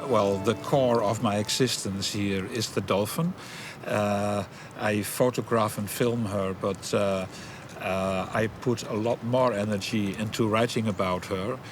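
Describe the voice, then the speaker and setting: Over noticeable background noise, the speaker talks at a fairly slow pace with fairly even intonation. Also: man, fairly low pitch for a man. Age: 60s. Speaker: former anthropologist. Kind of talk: interview. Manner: halting.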